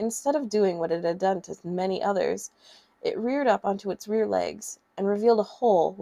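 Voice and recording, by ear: Someone reads a text aloud in a natural voice.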